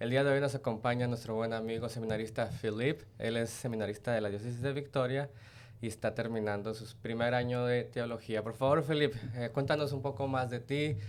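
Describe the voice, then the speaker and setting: A man with a Mexican accent, fairly quick in pace, with fairly even intonation. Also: medium pitch for a man. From Mexico. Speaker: podcast host, diocesan ministry worker. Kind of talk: podcast interview.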